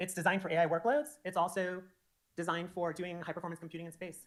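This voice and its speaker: A woman's fairly low-pitched voice at a very fast pace. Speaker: software architect giving conference talk. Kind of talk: conference presentation. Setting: stage with audience.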